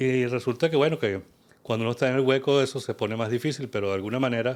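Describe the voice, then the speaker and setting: A man's very fast voice at a medium pitch, with ordinary pitch variation, on a very clean recording with a silent background. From Venezuela. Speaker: kundalini yoga teacher. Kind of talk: interview conversation.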